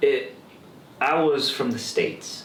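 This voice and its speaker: With an American accent, a man talks over noticeable background noise, and audible room echo fills the space. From Texas. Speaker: actor. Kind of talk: casual interview chat.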